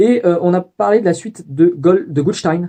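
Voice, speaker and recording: The man's voice is high in pitch, with a dark, mellow tone. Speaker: student vlogger. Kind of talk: video diary. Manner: fast; hesitant, many fillers.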